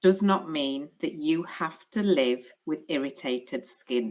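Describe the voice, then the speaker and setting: A woman with a British accent speaks at a fairly slow pace, her fairly low voice carrying lively intonation. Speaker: clinical educator for an ostomy supplier. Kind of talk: educational webinar presentation. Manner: hesitant with frequent fillers.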